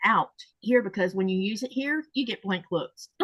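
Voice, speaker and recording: At a moderate pace, a woman with a medium pitch and lively intonation speaks in a dry, close sound with no echo. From Florida, US South. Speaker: quilting channel host. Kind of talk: casual chat.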